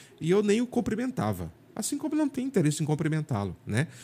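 In a very clean recording with a silent background, a man with a dark, mellow tone and vocal fry speaks with very wide pitch swings. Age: 50s. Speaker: journalist. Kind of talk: casual interview.

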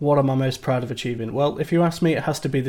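A man with a British accent, at a very fast pace. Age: 30s. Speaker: IT support worker and gaming community website creator. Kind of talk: interview. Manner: some hesitations (um, uh).

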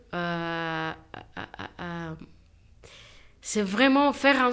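A woman speaks with lively intonation. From Niger. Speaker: entrepreneur making reusable sanitary pads. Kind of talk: conversation. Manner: halting.

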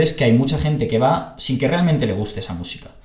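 Audible room echo surrounds a man's medium-pitched, somewhat breathy voice. He talks at a fairly quick pace. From Spain, Barcelona. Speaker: podcast host. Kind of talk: casual interview chat. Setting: video call.

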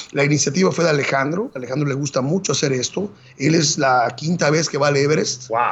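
A man talks very fast in a fairly high pitch, with noticeable background noise in the clip. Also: ordinary pitch variation, very even loudness. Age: 40s. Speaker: marathon runner and Everest climber. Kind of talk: interview storytelling.

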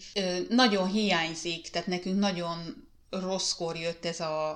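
Her pitch fairly low, a woman speaks at a very slow pace. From Hungary. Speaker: podcast host, mother. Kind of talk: personal storytelling monologue. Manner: hesitant with fillers.

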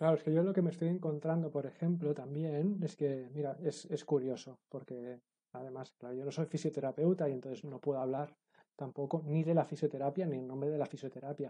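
A man's fairly high, ordinary speaking voice at a fairly quick pace, with fairly even intonation. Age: 40s. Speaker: fitness and movement educator. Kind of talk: casual interview chat.

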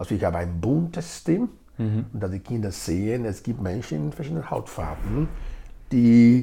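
Somewhat breathy and dark, mellow in tone, a man with a Nigerian accent talks at a moderate pace and medium pitch with very wide pitch swings. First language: Edo (speaking German). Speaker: integration project leader. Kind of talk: interview.

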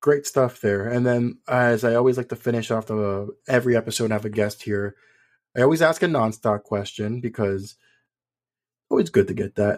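A man with an American accent talks at a fairly quick pace in an ordinary speaking voice. His pitch is medium, with ordinary pitch variation. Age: 30s. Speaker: podcast host. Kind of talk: podcast interview.

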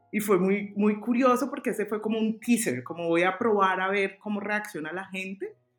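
A woman speaks at a moderate pace in a medium pitch with ordinary pitch variation and hardly any pauses, music playing in the background. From Colombia, Cali. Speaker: fashion designer and stylist. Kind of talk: interview. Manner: halting.

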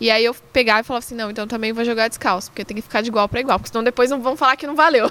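The speech races at a very fast pace with hardly any pauses, fairly even intonation and big swings in loudness. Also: woman, fairly high pitch for a woman. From Brazil, São Paulo. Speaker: football freestyler and content creator. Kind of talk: casual chat.

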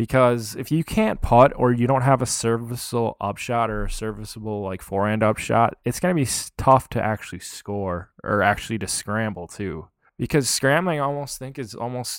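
A man with a Minnesota accent speaks at a moderate pace and medium pitch with ordinary pitch variation. The recording is very clean, with a silent background. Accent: Upper Midwest (Minnesota) American. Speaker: disc golfer and YouTuber. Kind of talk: casual interview chat.

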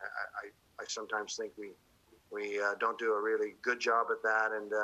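Speaking at a fairly quick pace, a man talks with a Canadian accent. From Canada, Ontario (Kingston). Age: 60s. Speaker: politician. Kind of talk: interview.

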